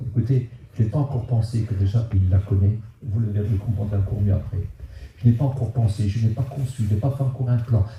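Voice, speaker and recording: Speaking at a very fast pace, a man with a medium pitch has a dark, mellow tone, a somewhat breathy sound and fairly even intonation. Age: 70s. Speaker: preacher. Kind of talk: sermon. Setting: church. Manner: halting.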